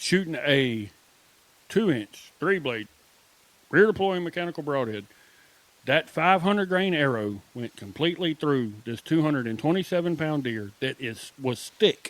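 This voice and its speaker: At a moderate pace, this speaker's voice swings very widely in pitch, with an American accent. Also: man, fairly high pitch for a man. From Southwest Georgia, US. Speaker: archery podcast co-host and bowhunter. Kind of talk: casual chat.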